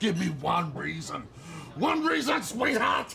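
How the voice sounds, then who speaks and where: Clear background noise sits behind a man speaking at a high pitch. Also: fairly slow pace. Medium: audio drama. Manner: contemptuous, berating.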